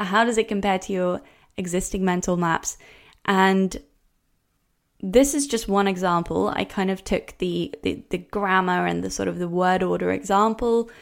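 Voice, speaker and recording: In a very clean recording with a silent background, a woman with a Norwegian accent speaks at a fairly slow pace and medium pitch, using ordinary pitch variation. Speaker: language coach. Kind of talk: educational podcast lecture.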